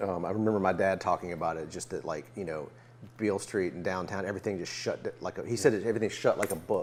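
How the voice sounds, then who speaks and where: With a Memphis accent, a man talks at a very fast pace, his pitch fairly low and his pitch variation ordinary. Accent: Southern US (Memphis). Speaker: musician interviewer. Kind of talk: casual interview chat. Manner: halting, many fillers.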